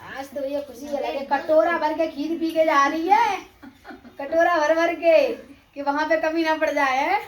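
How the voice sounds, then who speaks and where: Here a woman talks at a moderate pace with fairly even intonation. Her pitch is extremely high. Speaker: vlogger. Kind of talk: casual vlog.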